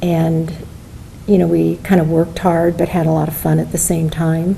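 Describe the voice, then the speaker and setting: A woman with a fairly low pitch and a Midwestern American accent talks at a moderate pace against noticeable background noise. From US Midwest, rural Iowa (Benton County). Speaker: retired judge. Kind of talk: oral history interview.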